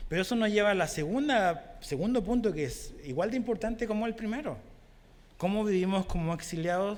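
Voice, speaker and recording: A high-pitched man talks at a fairly quick pace with lively intonation. Room echo is audible. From Chile. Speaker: pastor. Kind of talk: sermon.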